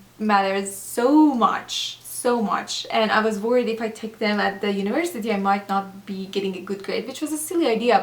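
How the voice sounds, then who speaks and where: Fairly quick speech from a woman with a non-native accent, fairly high in pitch with ordinary pitch variation, over noticeable background noise. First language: not English. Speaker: doctor and former nurse, video blogger. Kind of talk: advice vlog. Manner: hesitant, many fillers.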